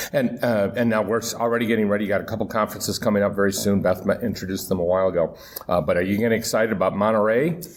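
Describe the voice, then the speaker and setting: With an American accent, a man speaks very fast with hardly any pauses, his fairly low pitch showing ordinary variation over noticeable background noise. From Michigan, US. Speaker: podcast host. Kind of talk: interview. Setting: live at a conference.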